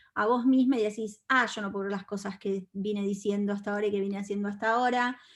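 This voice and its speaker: The woman speaks in a Rioplatense accent on a very clean recording with a silent background. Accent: Argentine Spanish (rioplatense, voseo). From Argentina. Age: 40s. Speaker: feminist speaker and content creator. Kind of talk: talk to an audience. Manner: animated.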